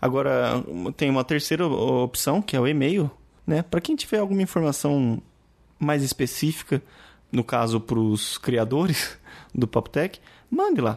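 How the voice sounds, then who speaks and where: A man's fairly high voice at a fairly slow pace, lively in intonation, with long, frequent pauses against a quiet background. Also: very even loudness. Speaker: podcast co-host. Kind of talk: casual chat. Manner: soft-spoken; calm.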